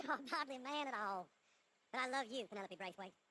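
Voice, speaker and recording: Using a put-on character voice, a woman rattles along at a very fast pace in a high pitch with lively intonation. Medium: video game.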